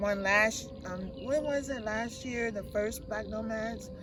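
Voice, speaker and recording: Over audible room echo, a woman with a fairly high pitch talks at a fairly slow pace. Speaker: camper with a tracheostomy. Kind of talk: casual interview.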